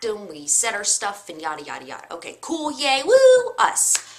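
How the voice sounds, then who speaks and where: A woman amid noticeable background noise. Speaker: video blogger. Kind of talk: personal vlog talk. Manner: slow, hesitant with many fillers.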